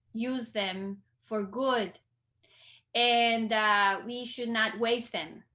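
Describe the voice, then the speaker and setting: In a Costa Rican accent, a woman talks with ordinary pitch variation. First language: Spanish. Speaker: librarian. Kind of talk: interview conversation. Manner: hesitant, many fillers.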